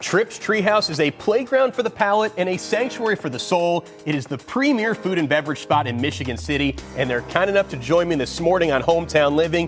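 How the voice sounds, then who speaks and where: Over music in the background, a man with an American accent talks at a fairly quick pace in a high pitch, his tone upbeat and energetic and his pitch swinging very widely. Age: 30s. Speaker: lifestyle TV host. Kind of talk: upbeat TV interview host banter. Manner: upbeat, energetic, jokey.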